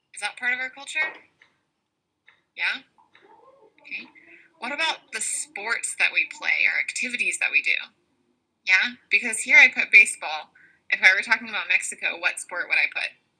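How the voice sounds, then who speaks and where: In a Southern US accent, a woman speaks in an animated tone at a moderate pace, with big swings in loudness and long, frequent pauses. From US South. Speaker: English teacher. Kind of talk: online class lesson.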